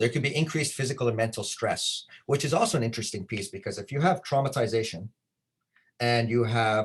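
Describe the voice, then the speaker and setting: A somewhat breathy man's voice at a medium pitch, with ordinary pitch variation. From Canada. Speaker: trauma-informed care trainer. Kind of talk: conference presentation.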